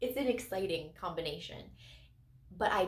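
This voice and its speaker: A woman's somewhat breathy, medium-pitched voice at a moderate pace, with audible room echo. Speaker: crystal channel host. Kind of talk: casual video monologue.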